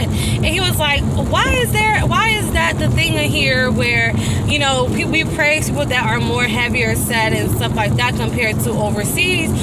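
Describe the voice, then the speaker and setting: Music plays in the background as a woman talks. The sound is dry, with no echo. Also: moderate pace. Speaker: vlogger. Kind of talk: casual vlog chat. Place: car. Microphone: phone near.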